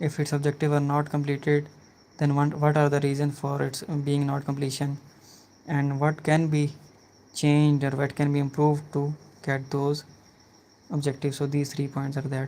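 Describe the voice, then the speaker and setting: Moderate pace, a non-native accent and long, frequent pauses. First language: not English. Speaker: health and safety student. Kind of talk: casual chat; lecture. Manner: halting.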